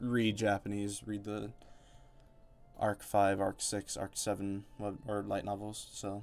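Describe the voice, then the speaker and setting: Over music in the background, a man speaks very slowly in a fairly low pitch with a monotone, flat delivery. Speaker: gaming streamer. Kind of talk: live game commentary. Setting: live stream. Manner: halting, trips over words.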